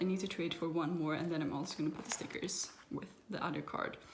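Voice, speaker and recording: A woman with a non-native accent talks fairly quickly in a fairly low pitch. Noticeable background noise and audible room echo surround her voice. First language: not English. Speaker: kpop photocard collector vlogger. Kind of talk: casual show-and-tell vlog. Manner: halting, self-correcting.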